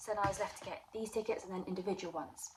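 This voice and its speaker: A woman speaks at a fairly high pitch. Noticeable background noise runs under her voice. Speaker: vlogger and aspiring crime writer. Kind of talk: casual vlog.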